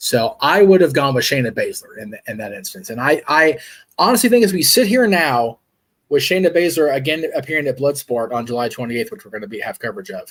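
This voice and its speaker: Speaking very fast with an American accent, a man uses a fairly high pitch that swings very widely. His loudness also swings a lot, and the recording is very clean with a silent background. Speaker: wrestling podcast host. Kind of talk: casual chat. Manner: stumbling over words.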